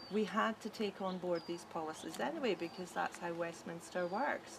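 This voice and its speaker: With a Scottish accent, a woman talks at a moderate pace with lively intonation over noticeable background noise. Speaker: independence campaigner. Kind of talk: casual chat.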